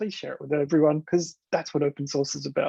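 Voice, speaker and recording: Enthusiastic in tone, a man talks with an Australian accent. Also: dry, close sound with no echo. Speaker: developer advocate, conference speaker. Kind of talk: conference talk. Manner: casual, enthusiastic.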